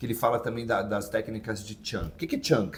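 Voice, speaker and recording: At a very fast pace, a man speaks in a somewhat breathy voice with very wide pitch swings. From Santos, São Paulo, Brazil. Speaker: English teacher, YouTube host. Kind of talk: casual educational chat.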